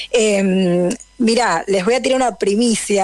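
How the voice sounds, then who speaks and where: At a fairly slow pace, a woman speaks with medium pitch over noticeable background noise. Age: 30s. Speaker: journalist. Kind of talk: radio interview.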